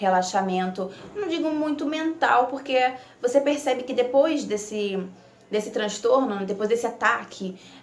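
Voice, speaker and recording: A woman speaks in an unremarkable speaking voice, her pitch fairly high and ordinarily varied, at a moderate pace. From Italy. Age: 20s. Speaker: nursing student. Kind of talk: casual talk to camera.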